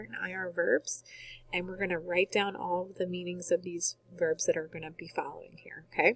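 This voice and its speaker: An unremarkable speaking voice from a woman, medium-pitched, at a moderate pace, in a dry, close sound with no echo. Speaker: Spanish teacher. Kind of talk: recorded lesson tutorial.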